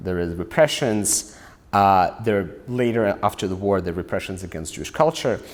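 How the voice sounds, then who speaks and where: A man with a Russian accent talks at a fairly low pitch and a moderate pace. His intonation is lively, and the recording is very clean with a silent background. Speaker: author and scholar. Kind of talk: lecture; Q&A answer. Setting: stage with audience.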